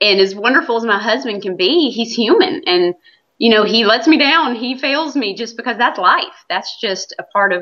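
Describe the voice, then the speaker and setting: Lively intonation marks this voice, which has an American accent and a moderate pace. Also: woman, fairly high pitch for a woman. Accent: Southern US accent, noticed by others. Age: 30s. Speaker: stay-at-home mom. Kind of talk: interview.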